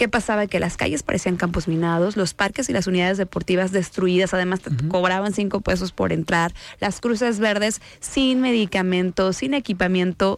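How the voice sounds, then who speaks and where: A woman talks at a moderate pace with a Jalisco accent and hardly any pauses. Her medium pitch shows ordinary variation, and her loudness stays very even. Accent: Mexican Spanish, Jalisco. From Mexico, Guadalajara (Jalisco). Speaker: senator. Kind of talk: radio interview. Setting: radio studio.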